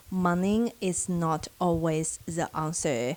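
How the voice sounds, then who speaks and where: A woman is speaking. She has a Chinese accent. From China. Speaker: social worker and vlogger. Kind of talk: casual advice vlog.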